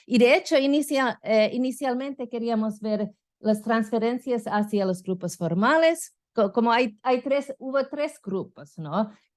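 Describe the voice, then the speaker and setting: Using lively intonation, a woman with a non-native accent talks at a fairly high pitch and a fairly slow pace. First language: not Spanish (speaking Spanish). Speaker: political science professor. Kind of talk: conference lecture. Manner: halting, many fillers.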